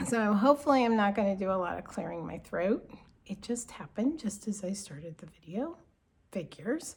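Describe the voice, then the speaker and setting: A woman talks fairly quickly at a medium pitch. Her voice is somewhat breathy. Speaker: cross stitch designer and craft vlogger. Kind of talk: casual vlog talk. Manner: casual, with fillers.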